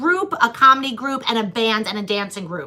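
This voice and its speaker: Lively intonation comes through in an American accent over noticeable background noise. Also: woman. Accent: Long Island accent, lighter than before. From Long Island, New York. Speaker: comedian and podcast host. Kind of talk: casual chat.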